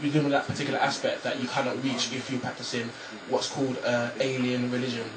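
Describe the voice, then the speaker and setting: Amid audible room echo and noticeable background noise, a man with a medium pitch talks at a very fast pace in monotone, flat intonation. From Nigeria. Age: 20s. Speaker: author. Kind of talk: radio interview. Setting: radio studio. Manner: halting, repeats words.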